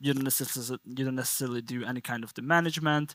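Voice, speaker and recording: In a Hungarian accent, a man speaks with a bright, sharp tone at a medium pitch and fairly even intonation. The sound is dry and close, with no echo, on a very clean recording with a silent background. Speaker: conference speaker from a network analytics company. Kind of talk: technical conference talk.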